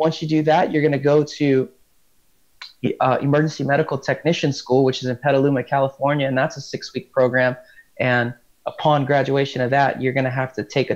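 Against a quiet background, a man speaks at a fairly quick pace with monotone, flat intonation. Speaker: rescue swimmer instructor. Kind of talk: interview answer. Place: home room. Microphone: earbuds.

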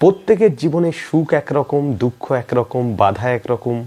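A man talks at a moderate pace with a dark, mellow tone. His fairly high pitch moves in big swings.

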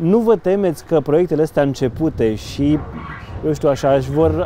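Over light background noise, a man with an unremarkable speaking voice talks at a moderate pace in a fairly high pitch, with ordinary pitch variation and a dry sound with no echo. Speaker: local news interviewer. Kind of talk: interview. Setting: outdoors by a riverside promenade under construction. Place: boat. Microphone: lapel.

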